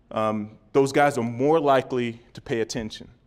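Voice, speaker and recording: This man has an unremarkable speaking voice at medium pitch with fairly even intonation. He goes at a fairly slow pace on a very clean recording with a silent background. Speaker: former NFL player and league wellness executive giving a talk. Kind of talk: conference presentation.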